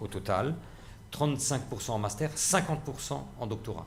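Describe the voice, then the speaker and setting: Speech comes at a fairly quick pace with an Alsatian accent, lively intonation and a somewhat breathy quality. Audible room echo surrounds it. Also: man. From Alsace, Strasbourg. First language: Alsatian (speaking French). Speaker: university president, linguist. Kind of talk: panel debate. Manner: halting, many fillers and repetitions.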